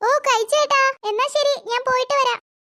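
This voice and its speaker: In a cartoonish character voice, a woman sounds squeaky and extremely high-pitched at a moderate pace, the sound dry and close with no echo. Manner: lively, teasing.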